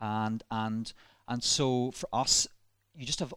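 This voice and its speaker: In a very clean recording with a silent background, a man speaks at a fairly slow pace in a medium pitch, with a dry, close sound and no echo. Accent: slight Northern Irish. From Northern Ireland, Ballymena. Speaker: minister and church planter. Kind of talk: casual interview. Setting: church building.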